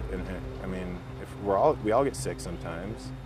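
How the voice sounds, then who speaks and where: A man with an American accent at a fairly quick pace, very wide pitch swings, noticeable background noise and audible room echo. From northern Michigan. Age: 30s. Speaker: political candidate. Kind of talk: interview. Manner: halting.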